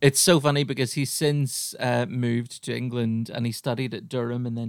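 In a very clean recording with a silent background, a man with an Irish accent talks fairly quickly at a medium pitch, with fairly even intonation and hardly any pauses. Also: big swings in loudness. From Ireland. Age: 30s. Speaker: podcast host and comedian. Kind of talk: casual chat.

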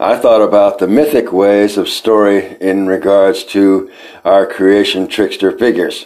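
Speaking at a fairly slow pace, a man with a fairly low pitch has a plain, everyday voice. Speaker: podcast host and storyteller. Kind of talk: mythic trickster poetry performed aloud, defiant and incantatory. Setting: solo recording for podcast.

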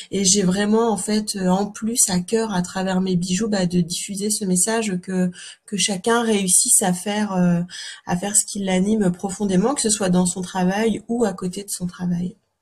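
Somewhat breathy, a woman speaks at a fairly slow pace with a medium pitch and monotone, flat intonation. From Normandy, France (Calvados). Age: 30s. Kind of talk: interview. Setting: remote call. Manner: hesitant, many fillers.

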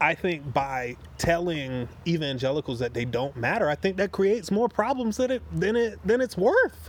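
With hardly any pauses, a speaker in an American accent swings very widely in pitch over noticeable background noise. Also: man, fairly high pitch for a man, moderate pace. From US South, Wilmington, North Carolina. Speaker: army veteran and divinity student. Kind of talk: casual conversation. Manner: halting with many repetitions.

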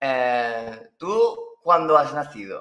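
Against a quiet background, a man with a Valencian accent speaks in a bright, sharp tone. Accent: Spanish from Spain (Valencian). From Spain, Valencia. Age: 20s. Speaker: astrologer. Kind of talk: casual interview. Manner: halting.

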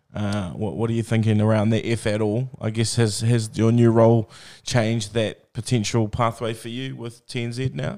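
Speaking with a New Zealand accent at a moderate pace, a man uses a medium pitch and fairly even intonation on a very clean recording with a silent background. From New Zealand, Bay of Plenty. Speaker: podcast host. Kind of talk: casual interview.

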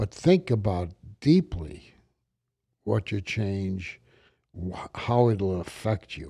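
In an American accent, a man speaks at a very slow pace with long, frequent pauses, a fairly low pitch, a somewhat breathy, dark, mellow tone, and a dry, close sound with no echo on a very clean recording with a silent background. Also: ordinary pitch variation, big swings in loudness. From New York, the Bronx. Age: 70s. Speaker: podcast host, businessman. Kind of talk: casual chat. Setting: studio. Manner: halting.

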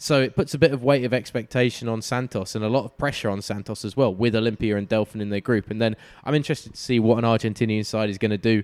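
A man with an English accent, very fast, at medium pitch with ordinary pitch variation. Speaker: football podcast host. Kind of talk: casual chat. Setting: Skype call.

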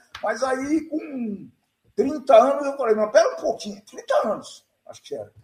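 A man's extremely high-pitched voice at a fairly slow pace, with ordinary pitch variation and big swings in loudness. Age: 70s. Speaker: entrepreneur, host's father. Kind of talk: casual chat.

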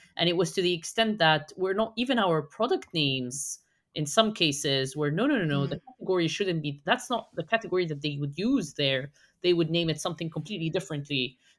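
A woman talks at a very fast pace. Her voice sits fairly low. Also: lively intonation. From Egypt. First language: Arabic. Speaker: SEO consultant. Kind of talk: casual chat.

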